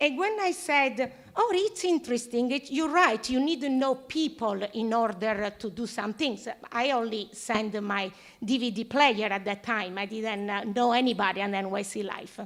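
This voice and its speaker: Her voice is fairly high, and this woman, with an Italian accent, talks at a moderate pace with lively intonation. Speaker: audience member, TV show host. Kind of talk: audience question at panel. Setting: live panel event with audience. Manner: halting.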